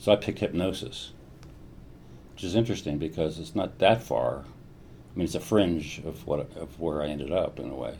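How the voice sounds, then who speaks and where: With an American accent, a man speaks in a very deep, low pitch and a dark, mellow tone with vocal fry, ordinary pitch variation, a fairly quick pace and long, frequent pauses. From US Midwest (Columbus, Ohio). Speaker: neuroscientist. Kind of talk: interview. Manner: hesitant, frequent fillers and repetitions.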